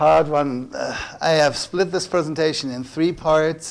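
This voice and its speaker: Fairly even intonation in a German accent. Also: man. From Germany. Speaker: workshop presenter. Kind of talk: lecture. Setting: room with audience. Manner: hesitant, many fillers.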